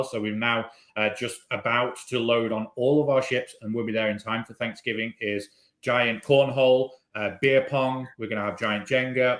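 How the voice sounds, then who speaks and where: A man in a British accent with fairly even intonation. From Britain. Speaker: cruise line entertainment manager. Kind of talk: webinar conversation. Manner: casual, hesitant with fillers.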